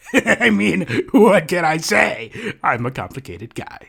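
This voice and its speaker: Putting on a character voice, a man talks at a moderate pace with fairly high pitch and very wide pitch swings. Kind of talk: comedic character dialogue.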